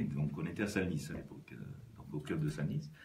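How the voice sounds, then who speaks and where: Against audible room echo, a man with a southwestern French accent speaks with vocal fry. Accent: southwest French. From southwest France, Lot-et-Garonne. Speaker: business executive and rugby club president. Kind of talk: radio interview. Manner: halting, many hesitations.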